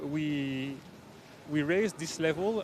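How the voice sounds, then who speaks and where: With a French accent, a man talks at a moderate pace in a fairly high pitch with ordinary pitch variation. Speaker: rowing club official, former Olympic rower. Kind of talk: live event interview. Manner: hesitant, many fillers.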